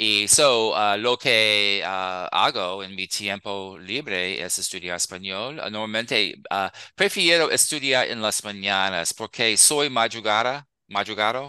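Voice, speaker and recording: In a quiet background, a man with an American accent speaks at a very slow pace, his bright, sharp tone set at a fairly low pitch with ordinary pitch variation. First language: English (speaking Spanish). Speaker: Spanish learner, retired teacher. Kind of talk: casual interview. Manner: halting, many fillers.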